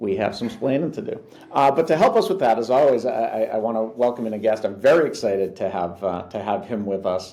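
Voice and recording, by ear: The tone is dark and mellow, with ordinary pitch variation. The pace is fairly quick. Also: man, fairly low pitch for a man.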